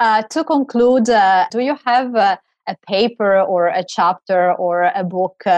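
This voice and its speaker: This woman's pitch moves in an ordinary way, and the sound is dry and close with no echo. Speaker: podcast host and law scholar. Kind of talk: interview.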